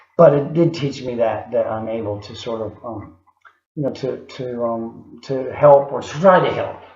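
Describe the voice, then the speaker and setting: Audible room echo surrounds a man speaking at a moderate pace. His pitch is medium, with ordinary variation. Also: big swings in loudness. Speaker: video diarist in recovery. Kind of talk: video diary. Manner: halting, many fillers.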